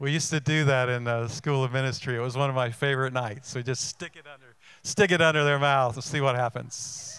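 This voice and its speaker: An ordinary speaking voice from a man, medium in pitch, at a fairly quick pace with hardly any pauses, fairly even intonation and big swings in loudness, in a very clean recording with a silent background. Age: 60s. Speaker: pastor. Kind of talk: sermon. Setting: church.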